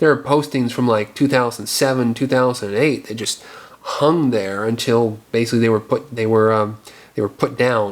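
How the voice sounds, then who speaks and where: Noticeable background noise sits behind a man talking at a medium pitch and moderate pace with fairly even intonation. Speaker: filmmaker and video blogger. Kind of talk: casual rant video.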